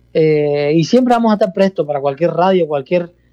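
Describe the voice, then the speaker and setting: A man talks with a Peruvian accent at a moderate pace. His voice is high-pitched with a dark, mellow tone. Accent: Peruvian-sounding. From Cuba, province outside Havana. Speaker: salsa orchestra musical director. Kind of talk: radio interview. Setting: phone call.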